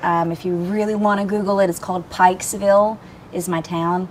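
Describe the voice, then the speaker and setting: In a fairly low voice, a woman speaks at a moderate pace with fairly even intonation. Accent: Southern. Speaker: interview guest. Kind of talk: casual chat.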